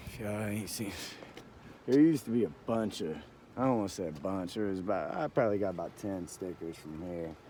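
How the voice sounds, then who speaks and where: A man talks at a fairly quick pace with a fairly low pitch. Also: lively intonation. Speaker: vlogger. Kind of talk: casual walking vlog. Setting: outdoors. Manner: halting; quiet.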